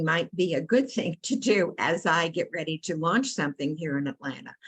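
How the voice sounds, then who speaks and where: At a moderate pace, a woman with an American accent speaks in a fairly low, somewhat breathy voice with lively intonation. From New York, Brooklyn. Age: 80s+. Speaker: workshop participant, community organizer. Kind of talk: group discussion. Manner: halting.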